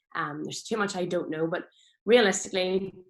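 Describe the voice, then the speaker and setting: A woman speaks in a Northern Irish accent. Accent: Northern Irish, noticeable. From Northern Ireland. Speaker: farmer and social media speaker. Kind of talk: presentation talk. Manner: hesitant, many fillers.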